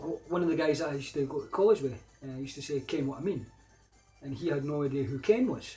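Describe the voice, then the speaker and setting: With music in the background, a man in a Scottish accent speaks at a very fast pace and a fairly high pitch. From Scotland. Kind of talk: casual talk to camera.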